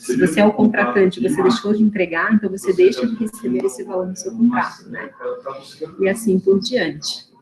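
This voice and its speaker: A woman speaks at medium pitch with lively intonation. Music plays in the background. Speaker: university lecturer. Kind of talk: online lecture. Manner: fast.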